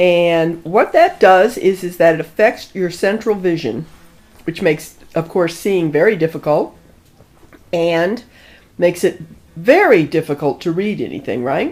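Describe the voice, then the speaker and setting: A woman with an ordinary speaking voice, fairly low pitch, ordinary pitch variation and a fairly slow pace. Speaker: interviewer. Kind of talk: interview questions.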